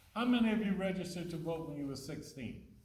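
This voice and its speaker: With audible room echo and noticeable background noise, a man talks at a moderate pace in a high voice with ordinary pitch variation. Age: old. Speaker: city mayor. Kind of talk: Q&A talk to students after a play.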